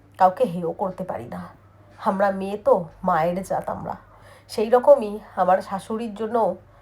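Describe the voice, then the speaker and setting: Her medium-pitched voice, dark and mellow and somewhat breathy, shows ordinary pitch variation while big swings in loudness mark how this woman speaks. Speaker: vlogger. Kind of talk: personal vlog monologue.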